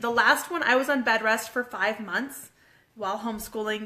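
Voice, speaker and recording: A woman with a fairly high pitch, an animated tone, ordinary pitch variation and a moderate pace. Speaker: fitness coach and homeschooling mom. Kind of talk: casual live video chat. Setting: live stream at home with kids.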